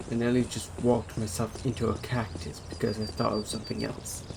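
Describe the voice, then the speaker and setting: Mumbling at a moderate pace, a man with a medium pitch and ordinary pitch variation is heard over noticeable background noise. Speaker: gaming streamer. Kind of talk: live gameplay commentary.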